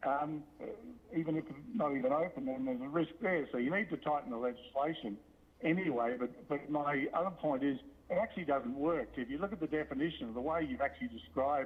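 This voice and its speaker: With an Australian accent, a man talks at a very fast pace. His fairly high voice moves with lively intonation. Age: 60s. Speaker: local shop owner giving public comment. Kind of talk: public comment at council meeting. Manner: halting, many fillers.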